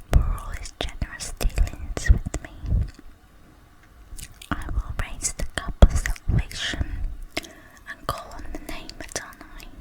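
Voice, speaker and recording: A calm, whispered voice moves at a fairly slow pace. Long, frequent pauses break it up, and noticeable background noise runs underneath. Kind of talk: Bible reading. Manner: slow, calm.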